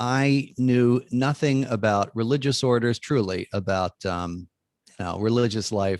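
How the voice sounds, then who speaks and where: A man with an American accent speaks in a plain, everyday voice at a medium pitch and fairly slow pace, with ordinary pitch variation. The recording is very clean, with a silent background and a dry, close sound with no echo. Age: 60s. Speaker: Jesuit priest and author. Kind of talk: interview conversation.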